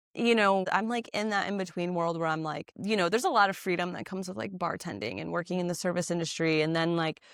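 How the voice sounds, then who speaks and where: Speaking at a very fast pace with hardly any pauses, a woman with an American accent has a fairly low pitch and ordinary pitch variation. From US South, Florida. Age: 30s. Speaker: podcast host. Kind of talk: casual chat.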